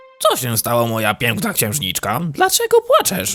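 A man's cartoonish character voice, fairly high in pitch and at a moderate pace, over faint music in the background. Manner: soft, polite, affectionate.

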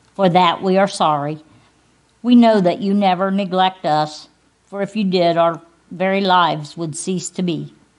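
A normal speaking voice, a woman talks at a moderate pace with fairly even intonation. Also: medium pitch for a woman. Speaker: pastor. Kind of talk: invocation prayer in a church service. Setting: church service. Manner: solemn, earnest, reverent, fervent.

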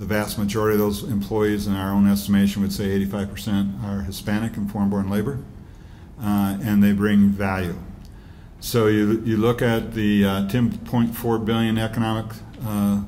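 A man's fairly low, dark, mellow voice at a moderate pace, monotone and flat in intonation, over light background noise. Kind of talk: press conference statement. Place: hall. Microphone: podium.

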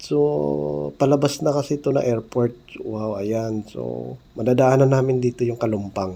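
Very slowly, a man speaks in a dark, mellow tone, his pitch swinging very widely. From Mindanao, South Cotabato (General Santos area). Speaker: vlogger. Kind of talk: travel vlog narration. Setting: airport, airplane and taxi on the go.

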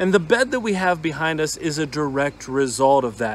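In a dry recording with no echo, a man talks at a moderate pace with lively intonation. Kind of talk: casual vlog chat. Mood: upbeat, enthusiastic. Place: garden. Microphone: phone near.

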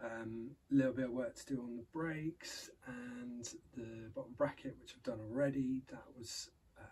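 Light background noise sits under the recording. The man speaks at a moderate pace. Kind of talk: casual vlog chat. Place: workshop. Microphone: camera far.

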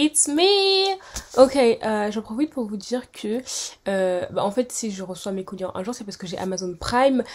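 A woman's fairly high voice with very wide pitch swings. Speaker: vlogger and student; vlogger. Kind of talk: casual vlog talk.

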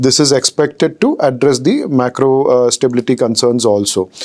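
The setting is quiet. Speaking at a moderate pace, a man's pitch varies in an ordinary way. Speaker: market analyst. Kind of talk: interview answer. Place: studio. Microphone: lapel.

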